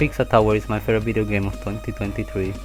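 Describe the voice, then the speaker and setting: With music in the background, a speaker with an Argentine accent talks at a very fast pace. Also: man. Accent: Argentinian. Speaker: video essayist. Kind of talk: commentary video voiceover. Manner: casual.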